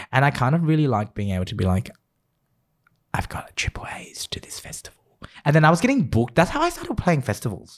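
Talking very fast, a man with a fairly high voice swings very widely in pitch and makes big jumps in loudness. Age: 20s. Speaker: podcast co-host, former DJ. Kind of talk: casual chat.

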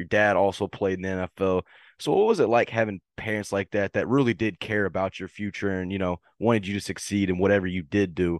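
Over a quiet background, a man with a fairly low pitch talks at a fairly quick pace, the sound dry and close with no echo. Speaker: sports podcast host. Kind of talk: interview. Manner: enthusiastic.

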